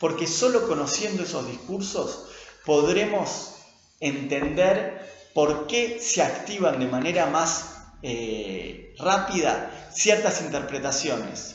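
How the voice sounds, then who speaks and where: A man speaks very slowly in a Rioplatense accent, his pitch high and his intonation lively. The room echoes audibly, and background noise is noticeable. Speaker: linguistics lecturer and researcher. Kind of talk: lecture.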